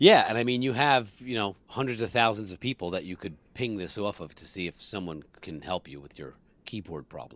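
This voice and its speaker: With an American accent, a man in an unremarkable speaking voice talks at a fairly quick pace, his fairly low pitch carrying lively intonation and big swings in loudness. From New Jersey. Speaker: musician and podcast co-host. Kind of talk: casual chat, live broadcast.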